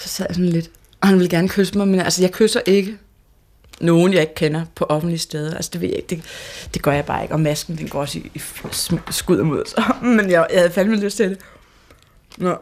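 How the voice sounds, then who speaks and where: Here is a woman with a normal speaking voice and a fairly low pitch. She talks at a fairly quick pace with fairly even intonation. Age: 20s. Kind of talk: interview testimony.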